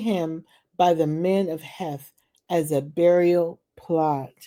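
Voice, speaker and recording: Her tone is dark and mellow. The woman speaks at a very slow pace. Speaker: Bible reading channel host. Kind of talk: casual chat; reading aloud. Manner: louder than usual.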